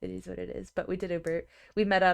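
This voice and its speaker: A very clean recording with a silent background captures a woman speaking. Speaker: streamer. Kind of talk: casual chat. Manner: casual, filler-heavy.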